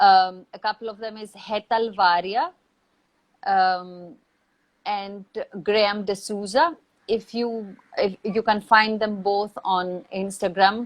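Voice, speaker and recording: Very slowly, with long, frequent pauses, a woman at medium pitch speaks with fairly even intonation and big swings in loudness. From Greece. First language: Greek. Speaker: actor and theater mentor. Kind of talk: interview.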